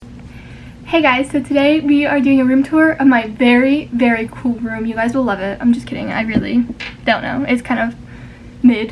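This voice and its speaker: With noticeable background noise behind her, a woman talks at a moderate pace in a high pitch. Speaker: vlogger. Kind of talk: casual room tour vlog. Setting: at home, moving around bedroom. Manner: loud; animated. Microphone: no microphone, device mic.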